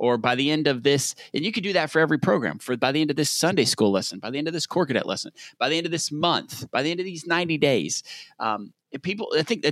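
In a very clean recording with a silent background, a man with a fairly high pitch talks at a very fast pace with lively intonation. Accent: Southern US. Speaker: podcast co-host. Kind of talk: casual chat.

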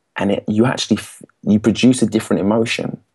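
Against a quiet background, a man with an English accent talks at a fairly quick pace in a dark, mellow tone with fairly low pitch. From England. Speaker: public speaking coach. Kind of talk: interview. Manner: energetic.

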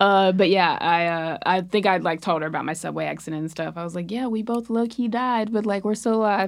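A woman with a normal speaking voice and an American accent, fairly quick pace, ordinary pitch variation, in a very clean recording with a silent background. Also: medium pitch for a woman. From US South. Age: 20s. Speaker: comedian. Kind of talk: casual chat.

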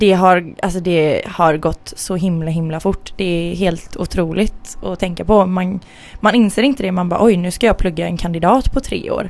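At a moderate pace, a woman talks in a plain, everyday voice of medium pitch with ordinary pitch variation. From Sweden, Gothenburg. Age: 20s. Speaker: podcast co-host and university student. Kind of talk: casual chat.

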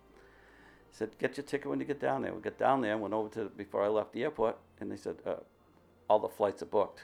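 Music plays behind a man who talks at a very fast pace with big swings in loudness. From Massachusetts, US. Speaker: wood sculptor. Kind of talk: interview. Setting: studio.

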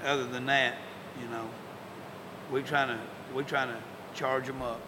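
A man speaks with an American accent. Noticeable background noise and audible room echo fill the recording. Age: 50s. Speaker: high school football coach. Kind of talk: interview. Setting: locker room. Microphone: poor audio quality.

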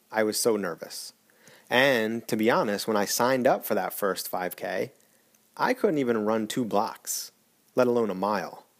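Medium-pitched male voice at a moderate pace, ordinary pitch variation, very clean recording with a silent background. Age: 40s. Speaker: podcaster documenting triathlon training. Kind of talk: personal monologue podcast. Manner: hesitant, many fillers.

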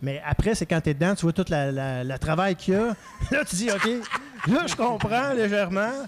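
Over noticeable background noise, a man talks in a high pitch with very wide swings in pitch. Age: 40s. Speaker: comedian. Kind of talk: casual chat. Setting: live venue. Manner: fast.

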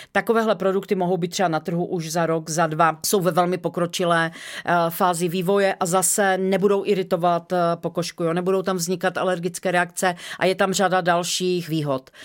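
The intonation is monotone and flat, with hardly any pauses. The pace is fairly quick. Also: woman, fairly low pitch for a woman. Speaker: company co-founder. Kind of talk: interview.

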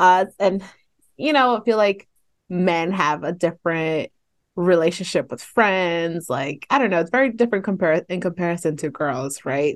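A woman with an American accent talks at a moderate pace in a fairly low pitch, with lively intonation and a quiet background. Hers is a plain, everyday voice. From San Fernando Valley, California. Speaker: podcast co-host. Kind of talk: casual chat.

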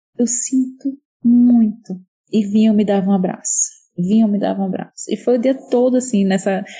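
This woman's fairly high, somewhat breathy voice keeps a fairly even intonation. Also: moderate pace. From Pernambuco, Brazil (Recife). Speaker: writer, parenting educator. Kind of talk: casual chat.

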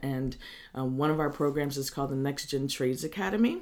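The voice is a woman's, very deep and low in pitch. She has an American accent. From Northern California (Lake County). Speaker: roofing company owner. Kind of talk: interview. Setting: office.

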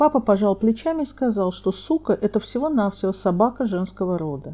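A woman with an unremarkable speaking voice and medium pitch talks at a fairly quick pace with lively intonation. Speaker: storyteller, mediator. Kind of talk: memoir storytelling reading.

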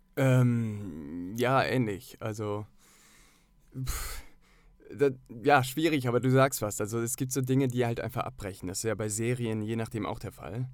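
A man speaks at a medium pitch and a fairly slow pace with ordinary pitch variation and long, frequent pauses, in a very clean recording with a silent background. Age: 30s. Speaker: actor and filmmaker. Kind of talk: casual chat.

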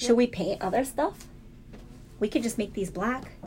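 A woman speaks with an animated tone, lively intonation and a somewhat breathy quality. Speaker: podcast host. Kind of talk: casual chat. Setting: office, recording with wine. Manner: animated, laughs a lot.

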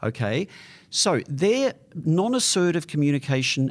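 At a moderate pace and with very wide pitch swings, a man talks over a quiet background. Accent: Australian. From Australia. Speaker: psychologist giving advice. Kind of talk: advice segment answering listener letters. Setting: studio.

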